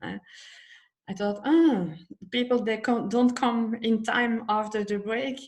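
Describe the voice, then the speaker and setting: A woman's somewhat breathy, fairly high voice with a Dutch accent. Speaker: psychology method instructor. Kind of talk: personal talk in live stream. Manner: halting.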